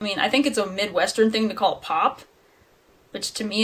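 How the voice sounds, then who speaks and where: Speaking at a fairly quick pace, a woman uses a fairly high pitch in a northern New York accent. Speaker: writer. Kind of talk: casual talk to camera.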